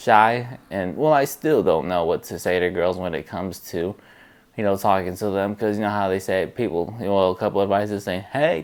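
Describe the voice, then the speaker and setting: Mumbling at a fairly quick pace, a man talks with ordinary pitch variation. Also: fairly low pitch for a man. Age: 20s. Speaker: vlogger. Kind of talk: casual vlog monologue. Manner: hesitant, many fillers.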